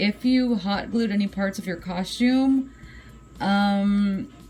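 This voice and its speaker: A woman with a medium pitch speaks in a fairly even intonation. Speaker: vlogger. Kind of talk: tutorial. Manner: casual, many filler words.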